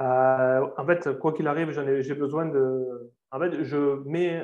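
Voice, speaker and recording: At a very slow pace, a man with a southern French accent speaks in a fairly high, monotone, flat voice. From southern France. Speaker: sales closer. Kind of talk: interview.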